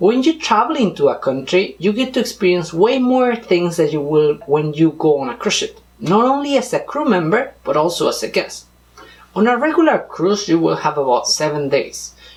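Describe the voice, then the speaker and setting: In a Spanish accent, a man with a high pitch talks at a moderate pace through very wide pitch swings. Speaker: vlogger, former cruise ship crew member. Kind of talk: scripted vlog narration.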